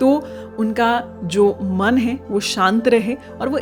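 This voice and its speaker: Lively intonation from a woman with a fairly high pitch, music playing in the background. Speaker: former radio jockey. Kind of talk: informational podcast narration.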